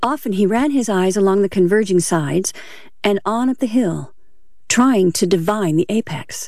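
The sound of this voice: Unforced voice reading a text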